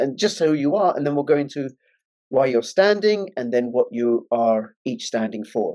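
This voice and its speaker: A man speaks at a moderate pace in a London accent, his tone dark and mellow. His pitch swings very widely. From England, London. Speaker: online political talk show host. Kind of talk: interview. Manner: emphatic.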